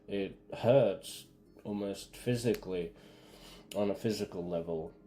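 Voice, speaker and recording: With music in the background, a man speaks at a fairly slow pace in a fairly low voice. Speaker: gaming streamer. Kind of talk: let's play commentary. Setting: live stream. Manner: halting, many fillers; slurred-sounding.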